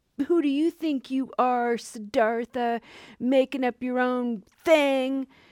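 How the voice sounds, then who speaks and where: Using a put-on character voice, a woman speaks at a high pitch. Her pace is fairly slow. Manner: sneering, taunting.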